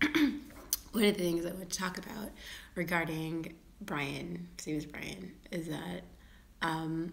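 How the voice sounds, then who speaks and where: A woman with a fairly low pitch speaks very slowly with vocal fry and ordinary pitch variation, in audible room echo. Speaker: vlogger. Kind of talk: casual vlog monologue. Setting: at home, live video. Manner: halting, repeated words; whispering.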